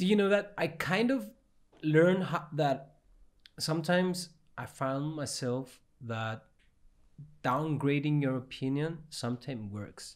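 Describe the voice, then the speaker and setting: A fairly high-pitched man in a Cypriot accent, with lively intonation and long, frequent pauses. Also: moderate pace. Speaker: podcast host. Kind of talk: casual chat.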